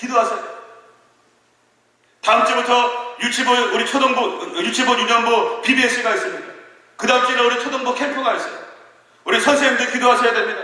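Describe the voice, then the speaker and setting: Raising and projecting his voice at an extremely high pitch, a man talks at a fairly quick pace with long, frequent pauses, with audible room echo. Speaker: pastor. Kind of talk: sermon. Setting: church. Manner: animated.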